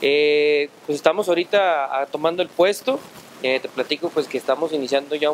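A man's fairly high voice at a moderate pace, fairly even in intonation, over light background noise. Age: 30s. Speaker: regional union coordinator. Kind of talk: interview. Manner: halting, many fillers. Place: hall. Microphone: handheld.

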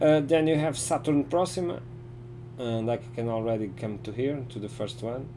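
A man's voice with ordinary pitch variation and light background noise. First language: not English. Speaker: gaming streamer. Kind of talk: live gameplay commentary and casual chat. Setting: live stream with online voice chat. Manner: halting. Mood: relaxed, explanatory. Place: home room.

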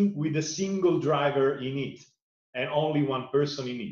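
A man with an Italian accent talks at a fairly slow pace with ordinary pitch variation. The background is quiet, though there is audible room echo. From Italy. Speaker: sustainability foundation director; interviewee. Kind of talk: interview. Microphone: webcam.

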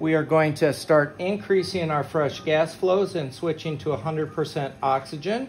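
Over light background noise, a man talks at a very slow pace with ordinary pitch variation. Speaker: anesthesia instructor. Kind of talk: tutorial. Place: hall. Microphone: camera far.

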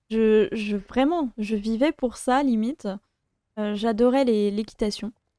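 Very slowly and with fairly even intonation, a woman speaks in a fairly high, dark, mellow voice, with a dry sound with no echo and a quiet background. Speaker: YouTuber. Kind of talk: storytime monologue. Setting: home office. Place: home room. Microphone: studio mic.

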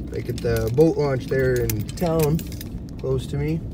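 Noticeable background noise in a dry sound with no echo. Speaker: driver vlogger. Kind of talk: casual vlog chat. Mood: relaxed, chatty. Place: car. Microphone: phone near.

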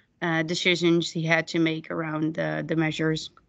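A woman speaks with a fairly low pitch. The background is quiet. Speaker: youth worker; presenter. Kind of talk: webinar presentation. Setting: video call. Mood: friendly, slightly nervous. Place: home room. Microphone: video call.

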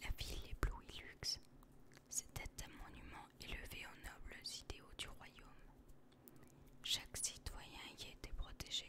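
A woman whispers at a very slow pace. Long, frequent pauses break up her speech. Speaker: ASMR content creator. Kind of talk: whispered ASMR reading of game character biography. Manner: whispered, soft, relaxing.

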